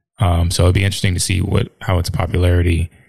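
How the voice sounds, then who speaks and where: A man talks at a very fast pace in a very deep, low voice that is somewhat breathy. His intonation is flat and monotone. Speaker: podcast co-host. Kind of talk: casual chat.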